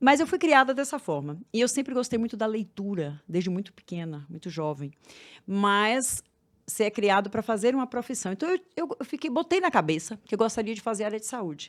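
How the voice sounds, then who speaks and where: A woman speaks at a fairly quick pace in a fairly high pitch, her voice swinging very widely up and down, on a very clean recording with a silent background. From Bahia, Brazil. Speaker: therapist for women. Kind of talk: podcast interview.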